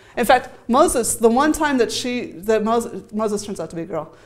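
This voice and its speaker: With audible room echo, a woman speaks fairly quickly in a fairly high pitch. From US Midwest. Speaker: academic researcher. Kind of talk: conference talk. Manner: fast.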